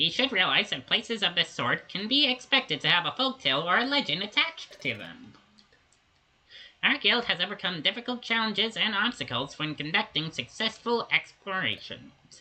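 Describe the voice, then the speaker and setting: A put-on character voice with a fairly high pitch. It moves along at a moderate pace. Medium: fan dub. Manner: formal, officious.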